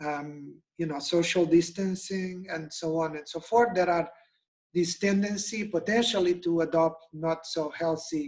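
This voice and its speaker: A man with a Portuguese accent talks fairly slowly at a high pitch, his intonation fairly even. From Portugal. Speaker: nutrition expert. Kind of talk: webinar presentation.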